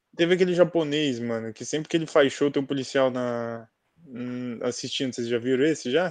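Against a quiet background, a man talks at a fairly quick pace and medium pitch with ordinary pitch variation, a normal speaking voice. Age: 20s. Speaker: podcast co-host, journalism student. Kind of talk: casual chat.

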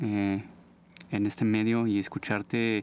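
Recorded very cleanly, dry and close with no echo against a silent background, a man with a Mexico City accent speaks at a fairly low pitch. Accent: Mexican Spanish (Mexico City). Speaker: podcast host, visual artist. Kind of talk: casual interview. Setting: studio.

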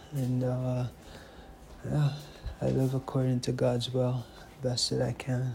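With long, frequent pauses, a man speaks in a somewhat breathy, dark, mellow tone, his loudness very even and his intonation monotone and flat. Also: medium pitch for a man. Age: 30s. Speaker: author and video diarist. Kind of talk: personal video diary. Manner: casual, halting with fillers.

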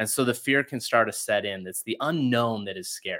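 In a normal speaking voice, a man with an American accent talks fairly quickly at medium pitch. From Utah, rural ranch. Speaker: real estate investor and podcast host. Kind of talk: interview conversation.

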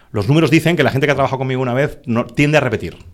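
Vocal fry colors a man's voice at a medium pitch. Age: 50s. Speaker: business executive and investor. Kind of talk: podcast interview.

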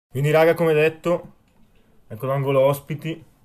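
On a very clean recording with a silent background, a man talks at a fairly quick pace in an animated tone. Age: 20s. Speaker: music podcast host. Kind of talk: casual music show hosting.

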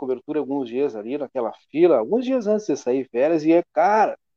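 Fairly high for a man, this is an ordinary speaking voice with lively intonation at a moderate pace. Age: 40s. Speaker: local news show host. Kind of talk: casual news chat livestream. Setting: studio livestream on Facebook.

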